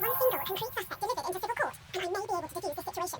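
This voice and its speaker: A squeaky put-on character voice races along at a very fast pace. Loud background noise fills the clip. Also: woman, extremely high pitch for a woman. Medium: video game. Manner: formal, measured.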